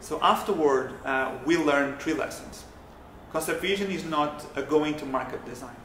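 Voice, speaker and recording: A man with a Portuguese accent speaks at a fairly high pitch. Light background noise and audible room echo are present. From Portugal. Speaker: product designer. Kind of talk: prepared video presentation. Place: office.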